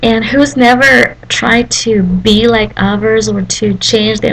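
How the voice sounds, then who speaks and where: Speaking at a very slow pace, a woman uses lively intonation at a medium pitch. Noticeable background noise runs underneath. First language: Malagasy. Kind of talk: devotional talk to camera. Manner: halting, many fillers.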